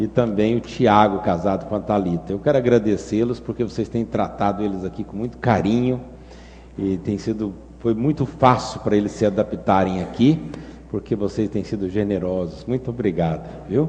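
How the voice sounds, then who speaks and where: A man's fairly low voice in a Minas Gerais accent, with ordinary pitch variation and a moderate pace. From Brazil, Minas Gerais. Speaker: pastor. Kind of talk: sermon.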